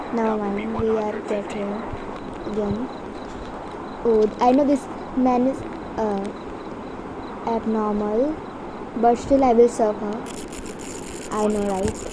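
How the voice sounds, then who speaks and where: A woman's fairly high voice with a non-native accent, fairly even intonation, a very slow pace and long, frequent pauses, over noticeable background noise. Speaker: gamer. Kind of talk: gameplay commentary. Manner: casual.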